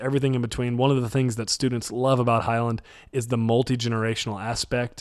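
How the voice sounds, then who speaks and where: A man with an American accent talks in a normal speaking voice at a medium pitch. He goes at a fairly quick pace with fairly even intonation in a very clean recording with a silent background. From Texas, North Dallas. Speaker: college pastor. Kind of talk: podcast interview.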